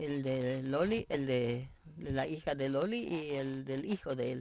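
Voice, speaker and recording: A woman with a very deep, low pitch talks at a fairly slow pace with ordinary pitch variation. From Argentina, Misiones (German immigrant family). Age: 80s+. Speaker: elderly interviewee, pioneer settler. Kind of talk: TV interview. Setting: at her home.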